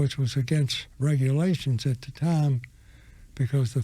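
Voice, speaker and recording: A somewhat breathy man with a fairly high pitch and a dark, mellow tone speaks at a fairly slow pace with fairly even intonation. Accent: American. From US South, Florida. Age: 100+ (80s+). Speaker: war veteran. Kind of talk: interview storytelling. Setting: studio.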